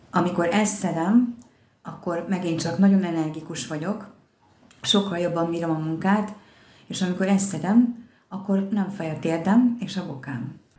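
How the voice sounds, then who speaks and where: A woman with a normal speaking voice talks at a fairly slow pace, her medium pitch showing ordinary variation. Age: 60s. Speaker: customer giving testimonial. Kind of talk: testimonial.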